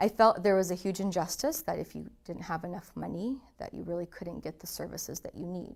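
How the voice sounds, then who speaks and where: With hardly any pauses, the speaker goes at a fairly quick pace, showing vocal fry, ordinary pitch variation and big swings in loudness. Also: woman, medium pitch for a woman. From Russia. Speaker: lawyer. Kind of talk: informational talk.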